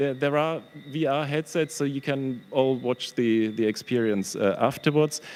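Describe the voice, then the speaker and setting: A man speaks with a German accent at a fairly high pitch and a moderate pace. His loudness stays very even, with ordinary pitch variation. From Germany. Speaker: professor, historian and exhibition curator. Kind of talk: panel presentation. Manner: halting, with many fillers.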